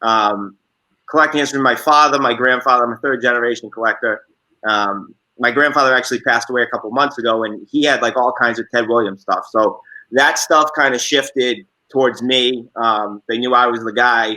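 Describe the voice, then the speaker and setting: Using a bright, sharp tone, a man with a Boston accent talks fairly quickly at a medium pitch with fairly even intonation. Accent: thick Boston. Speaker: sports card collector. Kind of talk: interview.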